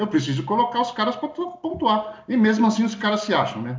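A man speaking at a fairly quick pace with very wide pitch swings. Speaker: podcast co-host. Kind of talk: casual chat.

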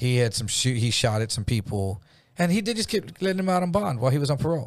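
Over a very clean recording with a silent background, a man talks at a very fast pace. His tone is animated and his intonation lively. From Jefferson area (US). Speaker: storyteller recounting past crimes. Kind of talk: casual chat.

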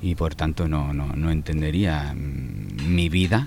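The voice belongs to a man. Variation in his pitch is ordinary. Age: 40s. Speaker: singer-songwriter. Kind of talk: interview. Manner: halting, many repetitions and fillers.

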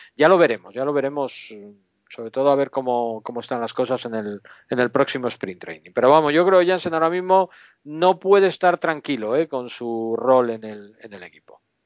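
A man at medium pitch speaks at a moderate pace with lively intonation and big swings in loudness. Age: 50s. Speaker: baseball fan and podcast guest. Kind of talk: casual chat.

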